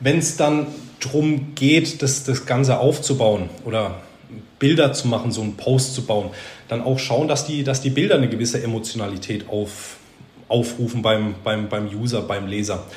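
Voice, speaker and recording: A man talks at a moderate pace and medium pitch with ordinary pitch variation. The recording has noticeable background noise and audible room echo. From Baden-Württemberg, near Heidelberg. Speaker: junior manager of a carpentry business. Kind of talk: interview.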